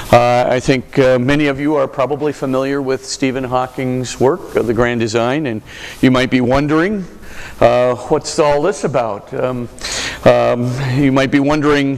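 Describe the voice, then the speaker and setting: Against noticeable background noise, a man speaks fairly slowly at a medium pitch with fairly even intonation. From Hawaii, US (Honolulu). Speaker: Jesuit priest and university lecturer. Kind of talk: lecture.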